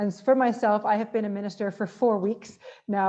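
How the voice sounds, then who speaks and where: A woman's dark, mellow voice at a very fast pace, flat and monotone. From Canada. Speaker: politician, government minister. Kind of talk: conference talk.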